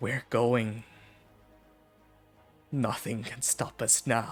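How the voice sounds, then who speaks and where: Very slowly, a man whispers in a raspy, put-on character voice while faint music plays behind him. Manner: ominous.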